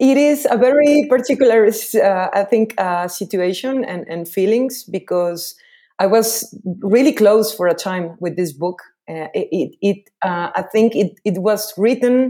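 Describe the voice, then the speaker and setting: Speaking at a fairly slow pace, a woman with a fairly high pitch and a dark, mellow tone uses lively intonation on a very clean recording with a silent background. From Veracruz, Mexico. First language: Spanish. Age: 30s. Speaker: novelist author. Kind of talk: interview. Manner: halting, hesitant.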